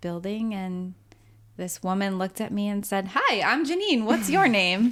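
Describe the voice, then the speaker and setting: A woman has a normal speaking voice and a fairly even intonation. She talks at a moderate pace on a very clean recording with a silent background. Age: 30s. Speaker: podcast co-host. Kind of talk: casual chat.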